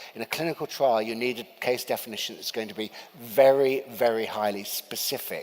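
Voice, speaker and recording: Someone with a British accent speaks at a fairly quick pace with fairly even intonation. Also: man, medium pitch for a man. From UK. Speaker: vaccine researcher speaking at a medical summit. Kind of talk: conference talk. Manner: hesitant, many fillers.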